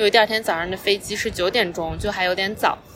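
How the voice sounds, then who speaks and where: A woman's voice with music in the background. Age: 30s. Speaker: podcast host. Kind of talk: casual monologue. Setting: outdoors on a park bench.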